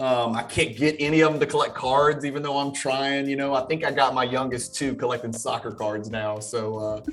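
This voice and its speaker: With music in the background, a man with an American accent speaks fairly quickly with hardly any pauses, medium pitch and fairly even intonation. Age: 40s. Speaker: card collector and lawyer. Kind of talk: casual chat.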